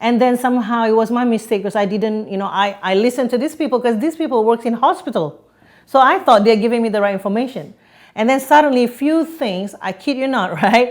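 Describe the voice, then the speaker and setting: A woman with a slight Singaporean accent talks very fast in a fairly high voice with lively intonation, on a very clean recording with a silent background. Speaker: podcast guest. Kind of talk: interview.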